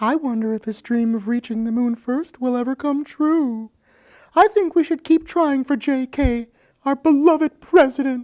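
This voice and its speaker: A woman speaks in a put-on character voice with a high pitch. Her pace is moderate. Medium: stage play. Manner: earnest, patriotic.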